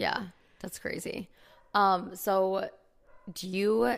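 This woman has a medium pitch. Her tone is animated. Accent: strong Chicago. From Chicago area, US Midwest. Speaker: podcast host. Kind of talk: casual chat between friends. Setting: recording at home, on apartment floor. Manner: animated, laughs often.

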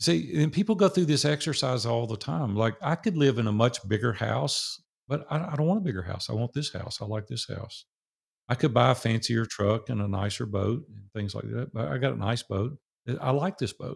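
A man speaks with a strong Southern US accent, lively intonation and vocal fry. The recording is very clean, with a silent background. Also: medium pitch for a man. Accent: strong Southern drawl. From US South, Nashville, Tennessee. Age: 60s. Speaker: business owner who sold his company. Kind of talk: interview.

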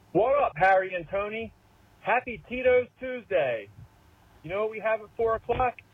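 A high-pitched man with a Philadelphia accent, ordinary pitch variation and long, frequent pauses. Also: moderate pace. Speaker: caller. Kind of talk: recorded voicemail call-in. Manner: animated.

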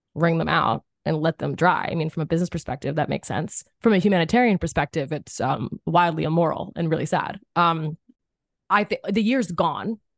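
Over a quiet background, a woman with an American accent speaks in a fairly low pitch with ordinary pitch variation. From Philadelphia, US. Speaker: actress. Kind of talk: casual interview. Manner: animated.

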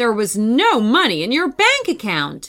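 A shouted, put-on character voice, fairly slow and fairly bright, with very wide pitch swings. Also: woman, fairly high pitch for a woman.

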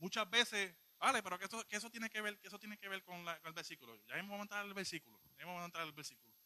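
A man's raised, projected voice, high in pitch, with a bright, sharp tone, a very fast pace and ordinary pitch variation. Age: 20s. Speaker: lay preacher. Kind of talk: sermon. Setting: church.

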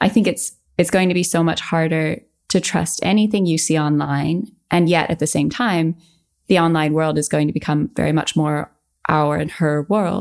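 A woman speaks in a plain, everyday voice, fairly low in pitch and with ordinary pitch variation. Her loudness stays very even at a moderate pace, on a very clean recording with a silent background. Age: 30s. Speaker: health journalist and content creator. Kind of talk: casual interview.

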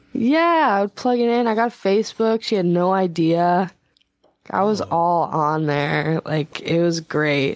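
A woman talks fairly slowly in a plain, everyday voice, fairly low in pitch. Her intonation is lively, and her loudness stays very even. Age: 20s. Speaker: singer-songwriter. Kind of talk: casual chat.

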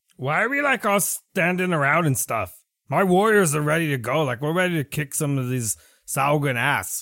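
A put-on character voice from a man, fairly high-pitched, delivered at a moderate pace. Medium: actual play. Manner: cocky, eager, casual; boastful, impatient.

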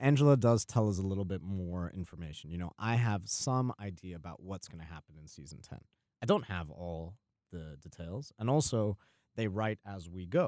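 At a moderate pace, a man with a very deep, low pitch and a dark, mellow tone speaks with lively intonation and big swings in loudness, in a dry, close sound with no echo on a very clean recording with a silent background. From US (New Jersey, Georgia, Texas), Guyanese family. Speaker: actor. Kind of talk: interview.

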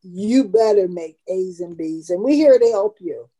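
A woman speaks at a fairly slow pace in a medium pitch, her dark, mellow tone recorded dry and close with no echo, and her pitch varies in an ordinary way. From US South, Tampa, Florida. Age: 70s. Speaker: community nonprofit founder. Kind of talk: interview, personal life story.

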